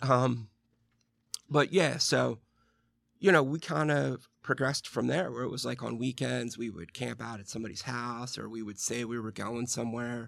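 A man's unremarkable speaking voice with an American accent, medium in pitch with ordinary pitch variation, at a moderate pace with big swings in loudness, on a very clean recording with a silent background. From Western Pennsylvania. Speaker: recovering alcoholic. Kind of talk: interview.

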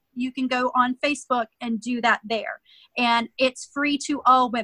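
A woman's raised, projected voice, high-pitched with a bright, sharp tone, at a moderate pace, in a dry, close sound with no echo. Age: 40s. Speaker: life transformation coach. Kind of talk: interview. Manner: animated.

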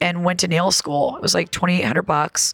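Amid noticeable background noise, a woman speaks in an animated tone at a medium pitch. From upstate New York (Elmira). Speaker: comedian. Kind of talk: casual chat.

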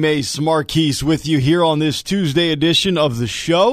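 A man with a fairly high voice speaks at a moderate pace with ordinary pitch variation on a very clean recording with a silent background. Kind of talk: radio dj patter. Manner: brisk, upbeat promo-reading, rattling off show times and teasers; animated, jokey.

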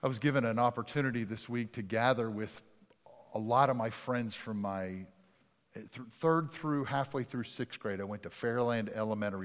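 With an ordinary speaking voice, a man talks at a fairly quick pace and with ordinary pitch variation on a very clean recording with a silent background. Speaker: pastor. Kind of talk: sermon. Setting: church.

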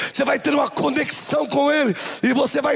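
His delivery moves at a moderate speed. Clear background noise sits under this man's voice. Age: 40s. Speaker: bishop. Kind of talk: sermon. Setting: church. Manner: animated.

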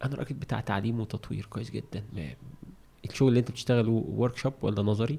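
With vocal fry in a dark, mellow tone, a man talks at a fairly quick pace and medium pitch. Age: 40s. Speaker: trainer in education and development. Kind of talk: casual interview conversation. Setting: studio. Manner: animated.

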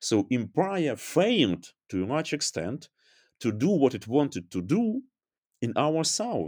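A man with vocal fry speaks at a fairly high pitch with very wide pitch swings, in a very clean recording with a silent background. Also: fairly slow pace. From Ukraine. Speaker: historian. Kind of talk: interview. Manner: halting.

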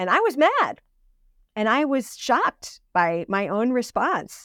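A woman speaks with lively intonation in an American accent. The sound is dry and close, with no echo. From US New England, Connecticut. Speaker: seminary dean and ordained minister. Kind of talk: interview conversation.

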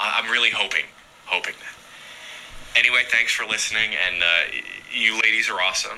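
There is noticeable background noise as a man talks at a medium pitch. He keeps a moderate pace and fairly even intonation. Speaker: listener calling in. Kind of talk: voicemail message.

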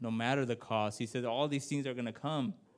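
A man's fairly even intonation comes through a very clean recording with a silent background. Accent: American. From Washington State, Yakima Valley. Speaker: preacher. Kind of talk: sermon. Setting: church. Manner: halting.

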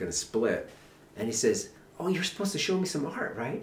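Fairly quick speech from a man with very wide pitch swings, against noticeable background noise. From northern New Mexico. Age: 50s. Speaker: painter. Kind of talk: casual chat. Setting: artist's studio.

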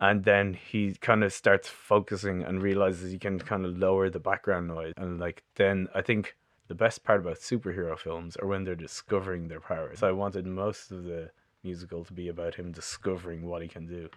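Someone speaks in a Dublin accent at a fairly quick pace. The intonation is monotone and flat, over a quiet background. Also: man, very deep, low pitch for a man, big swings in loudness. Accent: Dublin Irish. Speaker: bass player and composer. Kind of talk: casual chat. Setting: studio.

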